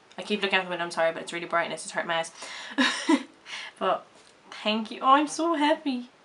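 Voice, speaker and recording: A woman talks at a very fast clip. Her pitch swings very widely. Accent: Irish. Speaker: vlogger. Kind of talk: casual vlog reaction to camera. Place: home room. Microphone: webcam.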